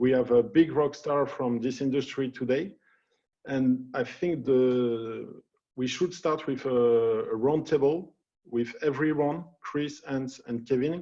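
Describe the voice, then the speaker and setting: Pitched fairly high for a man, his voice shows ordinary pitch variation. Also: fairly slow pace. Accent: French. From France. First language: French. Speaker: panel moderator. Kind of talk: panel moderation.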